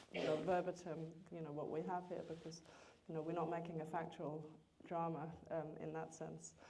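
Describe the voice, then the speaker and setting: A woman speaks in a fairly low voice with a dark, mellow tone. There is audible echo from the room. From Denmark. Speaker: screenwriter. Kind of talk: Q&A after film screening.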